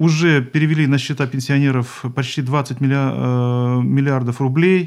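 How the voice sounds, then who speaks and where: Against a quiet background, a man at medium pitch speaks at a very slow pace with fairly even intonation. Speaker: regional pension fund head. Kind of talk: live radio interview. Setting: radio studio. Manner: formal.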